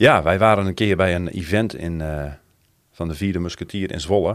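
His very deep, low voice moves at a fairly quick pace with fairly even intonation. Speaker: church member. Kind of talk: casual chat.

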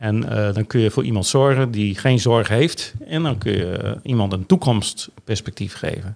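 A man speaks at a moderate pace with hardly any pauses, in an ordinary speaking voice. His pitch is fairly low, with ordinary variation. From Netherlands, Groningen (Veendam). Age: 60s. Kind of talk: casual chat. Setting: studio.

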